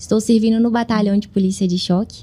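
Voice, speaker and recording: A woman speaks in a dark, mellow tone at a medium pitch, somewhat breathy, with monotone, flat intonation. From Brazil, Belo Horizonte, Minas Gerais. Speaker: police officer. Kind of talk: interview.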